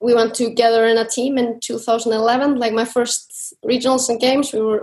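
Delivered at a moderate pace, the speech comes with an Icelandic accent. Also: woman. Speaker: CrossFit athlete. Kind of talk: interview.

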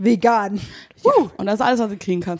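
A woman speaks in a fairly high pitch with an animated tone. Her pitch varies in an ordinary way. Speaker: podcast co-host. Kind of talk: casual chat. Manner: fast.

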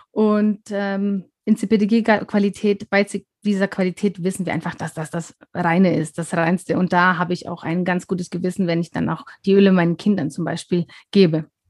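A dry, close sound with no echo, a moderate pace and fairly even intonation. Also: woman, medium pitch for a woman. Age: 40s. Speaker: wellness consultant. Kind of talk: casual interview. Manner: hesitant, many fillers.

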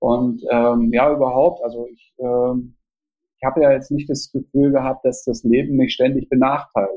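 This man has a normal speaking voice at a medium pitch. He keeps a moderate pace with fairly even intonation. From East Germany, Jena. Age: 50s. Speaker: theatre festival director and author. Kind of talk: interview. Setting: remote call.

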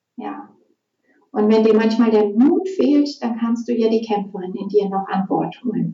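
At a fairly slow pace, a woman talks with a fairly high pitch and a somewhat breathy sound. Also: ordinary pitch variation. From Germany, Essen (Ruhr area). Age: 40s. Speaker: women's archetype coach. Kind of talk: interview; guided meditation. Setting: studio. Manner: slow, calm.

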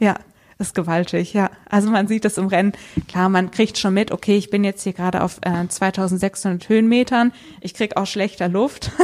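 A woman talks at medium pitch and a moderate pace. Her intonation is monotone and flat. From western Germany, Bergisch Gladbach. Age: 20s. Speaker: mountain bike racer and PhD student. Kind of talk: interview.

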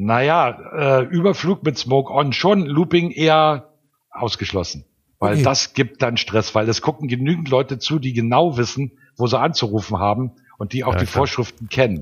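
Somewhat breathy, a man talks at a moderate pace and a medium pitch with lively intonation. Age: 60s. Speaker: airfield manager and pilot. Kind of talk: interview.

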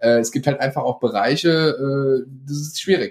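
A man's intonation is lively, and his pace is moderate. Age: 20s. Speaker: marketer. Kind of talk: casual chat.

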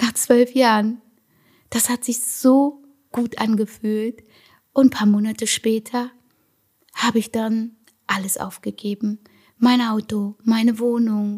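The speaker talks at a very slow pace. Long pauses come often. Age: 40s. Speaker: podcaster, sugar-free lifestyle coach. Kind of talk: personal monologue, motivational testimony. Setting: at home in her apartment.

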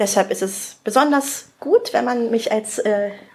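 This is a woman speaking. Background noise is noticeable. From Spreewald, eastern Germany (Brandenburg). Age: 30s. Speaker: wedding planner. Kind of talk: casual interview. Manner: frequent laughter.

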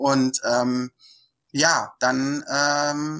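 Bright, sharp tone in a very clean recording with a silent background. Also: woman. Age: 40s. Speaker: coach. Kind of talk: interview.

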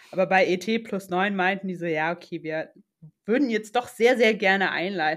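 A woman with a plain, everyday voice, medium pitch and ordinary pitch variation speaks at a moderate pace on a very clean recording with a silent background. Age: 20s. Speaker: new mother. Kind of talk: casual chat.

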